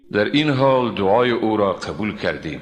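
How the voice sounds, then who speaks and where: A man speaks in a soft-spoken way. Noticeable background noise runs underneath. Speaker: Quran translator. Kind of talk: scripture translation reading. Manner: calm, soft.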